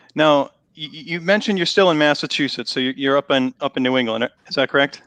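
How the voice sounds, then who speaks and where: Speaking at a very fast pace with a Boston accent, a man with a fairly high pitch shows ordinary pitch variation and big swings in loudness. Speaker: online show host. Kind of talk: live interview. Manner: halting, repeats words.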